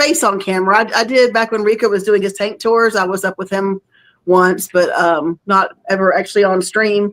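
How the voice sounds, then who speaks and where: This woman speaks. She has a Southern accent. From North Florida / South Georgia. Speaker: fish hobbyist. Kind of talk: casual chat.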